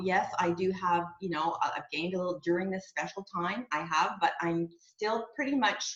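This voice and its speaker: A woman with a Canadian accent talks at a moderate pace over noticeable background noise. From Quebec, Canada (Montreal). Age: 60s. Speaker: network marketing area manager. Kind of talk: testimony. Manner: casual, conversational with fillers.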